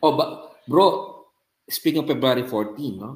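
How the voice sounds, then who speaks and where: Here a man talks at a medium pitch with lively intonation. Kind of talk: talk on faith and media.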